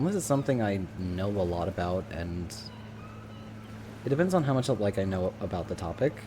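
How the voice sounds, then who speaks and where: The voice has a dark, mellow tone, somewhat breathy, with long, frequent pauses. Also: man, fairly low pitch for a man, ordinary pitch variation, fairly quick pace. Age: 20s. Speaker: streamer. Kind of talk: casual chat. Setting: live stream. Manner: halting.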